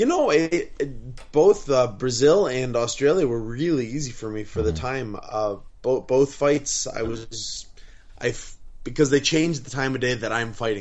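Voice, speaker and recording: Lively intonation marks an unremarkable speaking voice moving at a moderate pace. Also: man, medium pitch for a man. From Wisconsin. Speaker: professional MMA fighter. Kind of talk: casual interview. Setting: video call.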